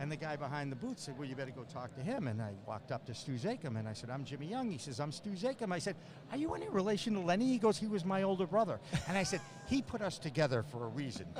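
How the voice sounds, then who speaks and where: Over noticeable background noise, a man with a fairly high pitch talks at a very fast pace with very wide pitch swings. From Boston area, US. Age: 60s. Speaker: cannabis podcast host and former sportscaster. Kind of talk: casual interview. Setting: trade show floor booth. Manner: animated.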